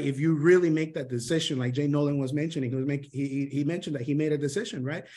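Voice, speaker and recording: A man's fairly high voice with a Spanish accent. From Honduras. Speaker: sales mentor. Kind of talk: motivational training talk. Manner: animated, with many fillers and restarts.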